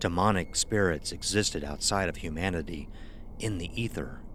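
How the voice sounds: Speaking at a moderate pace, a man uses a low pitch with ordinary pitch variation.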